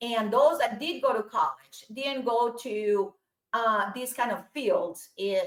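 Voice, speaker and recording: Someone with a Spanish accent speaks at a fairly slow pace with lively intonation. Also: woman. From Colombia. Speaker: aerospace engineer and entrepreneur. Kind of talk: interview conversation.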